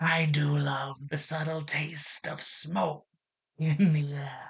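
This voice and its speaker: A man's put-on character voice, fairly high-pitched and very slow. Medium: read story. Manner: cheerful, folksy.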